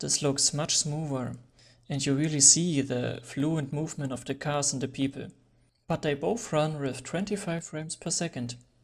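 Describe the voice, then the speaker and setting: A non-native accent at a moderate pace. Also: very clean recording, silent background. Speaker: photography tutorial creator. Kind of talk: tutorial.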